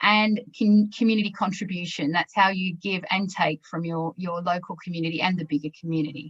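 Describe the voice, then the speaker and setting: In an Australian accent, a woman with a medium pitch speaks somewhat breathily at a fairly quick pace, with fairly even intonation and hardly any pauses. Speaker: webinar presenter, sustainability consultant. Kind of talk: business webinar presentation.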